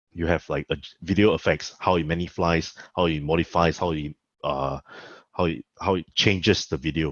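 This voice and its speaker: This man's very deep, low voice has vocal fry, moving at a moderate pace with ordinary pitch variation. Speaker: lecturer. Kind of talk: lecture.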